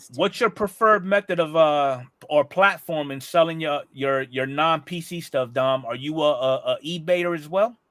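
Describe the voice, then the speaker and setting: Delivered in a normal speaking voice at a moderate pace, the speech has hardly any pauses, big swings in loudness and ordinary pitch variation. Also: man, fairly high pitch for a man. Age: 40s. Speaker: podcast host. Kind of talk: casual chat.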